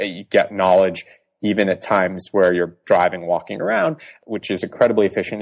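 Very fast speech from a man with an American accent. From US Northeast, suburban Boston. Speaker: tech startup co-founder. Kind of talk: interview.

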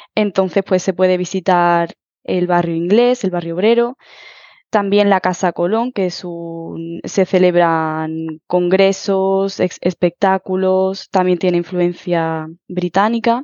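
A woman speaks very slowly. Her intonation stays fairly even. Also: medium pitch for a woman. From Huelva, Andalusia, Spain. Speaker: Spanish teacher. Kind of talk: interview.

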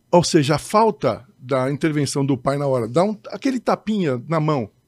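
A man with a normal speaking voice talks at a moderate pace, fairly high in pitch and lively in intonation. The sound is dry and close with no echo, in a very clean recording with a silent background. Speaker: judge. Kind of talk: casual chat.

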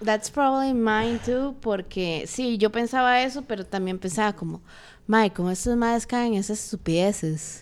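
A normal speaking voice at a moderate pace, with ordinary pitch variation, comes through on a very clean recording with a silent background. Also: woman, fairly high pitch for a woman. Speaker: podcast co-host. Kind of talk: casual chat.

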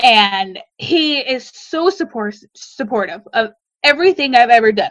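Her tone animated, a woman with a Midwestern American accent speaks in a high voice that makes very wide pitch swings. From US Midwest. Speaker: baker and small business owner. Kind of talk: interview storytelling.

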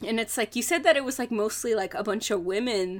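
A woman speaks in a normal speaking voice, fairly high pitched, at a moderate pace. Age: 20s. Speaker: podcast co-host. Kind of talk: casual chat.

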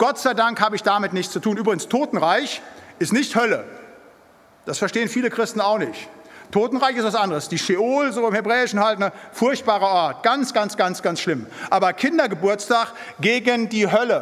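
Noticeable background noise under a man's high voice, moderate pace and ordinary pitch variation. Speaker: preacher. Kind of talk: sermon. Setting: church. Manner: emphatic.

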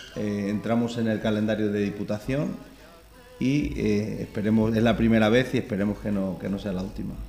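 Delivered at a moderate pace with fairly even intonation, the voice carries audible room echo. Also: man, fairly low pitch for a man. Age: 40s. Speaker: village mayor. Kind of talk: radio interview. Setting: town hall. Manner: halting.

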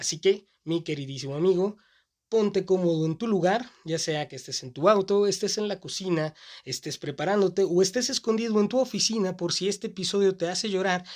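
Speaking at a fairly quick pace with a Mexican accent, a man uses a high pitch and ordinary pitch variation. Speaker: podcast host. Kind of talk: solo podcast monologue.

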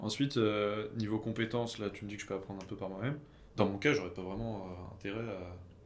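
Amid audible room echo, a man speaks at a fairly quick pace and fairly low pitch with fairly even intonation. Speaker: engineering student. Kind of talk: casual chat.

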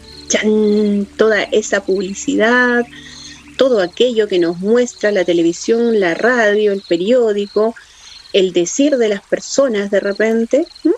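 A woman with a fairly high pitch speaks at a very slow pace with ordinary pitch variation amid noticeable background noise. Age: 40s. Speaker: spiritual teacher. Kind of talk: spiritual talk.

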